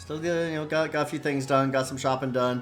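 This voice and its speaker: The speaker is a man at medium pitch. He has an American accent. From US, Denver, Colorado area. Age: 50s. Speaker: video game streamer. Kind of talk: casual gameplay commentary. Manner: casual, hesitant with many fillers.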